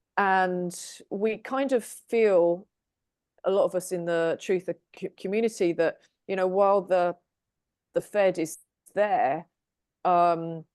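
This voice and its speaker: With an English accent, a woman speaks at a very slow pace with long, frequent pauses, medium pitch and fairly even intonation, sounding dry and close with no echo against a quiet background. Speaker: tarot reader. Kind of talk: casual group discussion.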